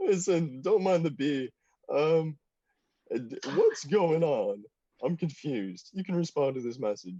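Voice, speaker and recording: Using a put-on character voice with a fairly high pitch, a man speaks at a fairly slow pace with long, frequent pauses. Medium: actual play. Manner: chirpy, casual.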